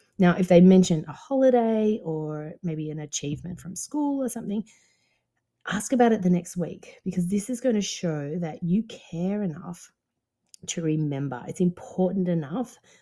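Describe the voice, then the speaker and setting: A woman with a dark, mellow tone sounds somewhat breathy and uses lively intonation. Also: moderate pace, big swings in loudness. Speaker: dance business coach and podcast host. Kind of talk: podcast monologue. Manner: low voice.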